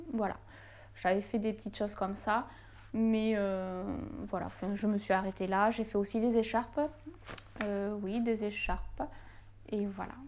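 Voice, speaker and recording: A woman speaks at a fairly slow pace with long, frequent pauses. Her medium-pitched voice stays monotone and flat. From southern France, Toulouse. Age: 20s. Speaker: knitting YouTuber. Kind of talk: casual Q&A vlog. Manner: hesitant, many fillers.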